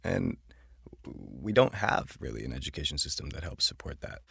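In a very clean recording with a silent background, the speaker moves at a fairly quick pace with lively intonation and vocal fry. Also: man. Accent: American. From Buffalo, New York. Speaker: social entrepreneur and education nonprofit founder. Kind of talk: interview conversation.

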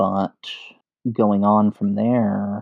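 A man with an American accent, dark and mellow in tone, at a very slow pace. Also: dry, close sound with no echo, quiet background. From US Northeast, Bronx, New York. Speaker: indie game designer. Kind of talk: podcast interview.

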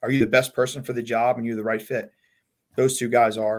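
The speech moves at a very fast pace with an American accent. Intonation stays fairly even. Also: man. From Long Island, New York. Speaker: college baseball head coach. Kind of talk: casual interview chat.

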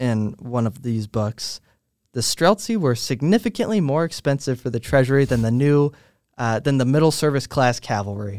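There's an unremarkable speaking voice from a man at medium pitch and moderate pace, his intonation lively, recorded very cleanly in a dry, close space with no echo and a silent background. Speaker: podcast host. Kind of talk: casual chat. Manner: joking, playful.

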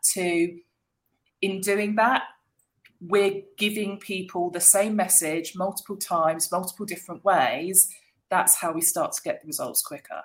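This is an ordinary speaking voice from a woman, pitched at a medium level. She talks at a fairly slow pace with fairly even intonation. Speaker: marketing agency managing director. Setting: video call.

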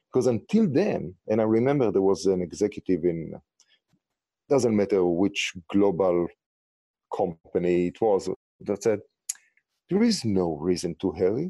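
Heard in a dry, close sound with no echo, a man with an Israeli accent speaks at a fairly low pitch and a fairly slow pace in a dark, mellow tone, with ordinary pitch variation and long, frequent pauses. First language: Hebrew. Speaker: startup founder. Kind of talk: interview.

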